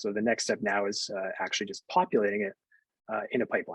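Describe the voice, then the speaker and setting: The recording has a dry, close sound with no echo as a man speaks with ordinary pitch variation. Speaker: software engineer giving product demo. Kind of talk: live technical demo. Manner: fast; hesitant, many fillers.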